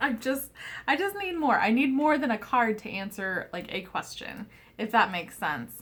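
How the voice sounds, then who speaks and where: A mumbling woman's fairly high voice with very wide pitch swings. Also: moderate pace. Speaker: tarot reader. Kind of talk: casual chat.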